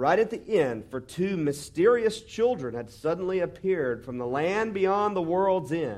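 Plain reading aloud is delivered with lively intonation.

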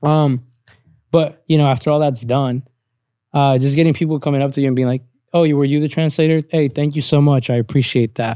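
At a fairly quick pace, a man with a fairly high pitch speaks in a dark, mellow tone with fairly even intonation. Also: very clean recording, silent background. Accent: Spanish. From Latin America, moved to US at ten. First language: Spanish. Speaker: podcast co-host. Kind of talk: casual chat. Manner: halting.

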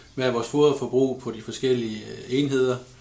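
The delivery is monotone and flat at a moderate pace. Audible room echo surrounds the voice. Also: man. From Denmark, Ribe area (southwest Jutland). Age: 30s. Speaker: pig farmer. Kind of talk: interview.

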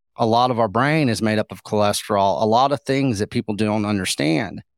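A man with a Texan accent at a fairly quick pace, medium in pitch with ordinary pitch variation, on a very clean recording with a silent background and a dry, close sound with no echo. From Texas, Llano Estacado (West Texas). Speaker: beef advocate and food researcher. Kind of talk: podcast interview. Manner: animated.

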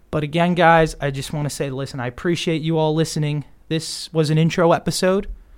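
With an American accent and a normal speaking voice, a man talks at a fairly quick pace in a fairly high pitch with fairly even intonation, on a very clean recording with a silent background. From Long Island, New York. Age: 20s. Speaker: sports podcast host. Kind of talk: solo podcast monologue.

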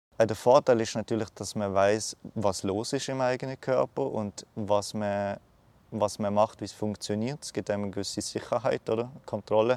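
Fairly low in pitch, a man speaks at a moderate pace with fairly even intonation on a very clean recording with a silent background. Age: 20s. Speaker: cancer patient. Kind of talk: interview. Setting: outdoors. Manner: halting.

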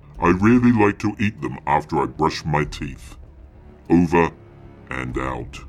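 Putting on a character voice, a man speaks very deep and low. He goes at a fairly slow pace with long, frequent pauses. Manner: cold, commanding, oddly whimsical.

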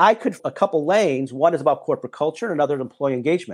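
A man's plain, everyday voice, fairly high in pitch with lively intonation, against a quiet background. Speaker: business executive and author. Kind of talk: interview.

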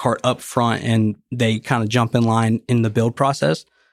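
Delivered with a Tennessee accent, the speech has fairly even intonation and a dry, close sound with no echo. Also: man, very clean recording, silent background. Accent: Southern US (Tennessee). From Tennessee (Nashville). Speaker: golf cart dealership president. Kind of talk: casual interview.

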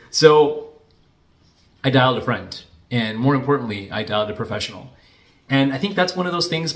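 Speaking at a fairly quick pace, a man with an unremarkable speaking voice uses lively intonation at a medium pitch. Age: 40s. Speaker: financial planner. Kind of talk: casual vlog monologue.

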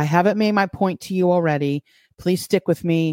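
Heard on a very clean recording with a silent background, a woman with a New York accent speaks in a dark, mellow tone. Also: dry, close sound with no echo. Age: 50s. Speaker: podcast host. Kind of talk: livestream Bible teaching with chat; casual chat. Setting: live stream from home, using a laptop.

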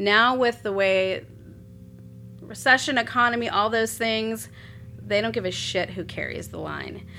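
A woman at a fairly slow pace with long, frequent pauses, music in the background. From South Texas, Corpus Christi. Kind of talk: casual interview chat.

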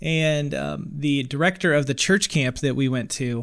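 In a very clean recording with a silent background, a man speaks in an unremarkable speaking voice, fairly high in pitch with ordinary pitch variation. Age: 30s. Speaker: wedding filmmaker and podcaster. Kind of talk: casual interview.

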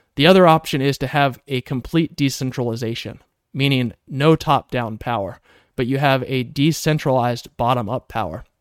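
At a moderate pace with ordinary pitch variation, a plain, everyday voice comes through a dry, close sound with no echo on a very clean recording with a silent background. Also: man, medium pitch for a man. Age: 30s. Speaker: podcast host. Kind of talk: solo monologue podcast.

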